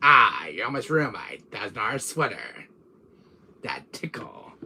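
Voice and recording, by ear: A put-on character voice at a fairly slow pace, with very wide pitch swings. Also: man, medium pitch for a man.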